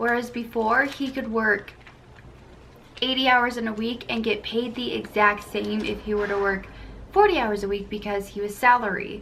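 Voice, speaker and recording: A woman with a fairly high pitch and fairly even intonation speaks amid audible room echo. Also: moderate pace. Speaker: family vlogger. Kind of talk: casual chat. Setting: at home with her toddler. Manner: halting.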